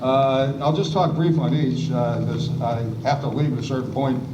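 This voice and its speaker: A man talks at a moderate speed while noticeable background noise and audible echo from the room surround him. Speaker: panelist, former legislative staffer. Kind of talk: panel discussion. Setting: public event with audience, seated. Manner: hesitant fillers.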